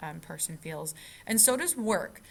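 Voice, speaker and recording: A woman talks with vocal fry. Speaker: psychology teacher. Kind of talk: recorded lecture. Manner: fast.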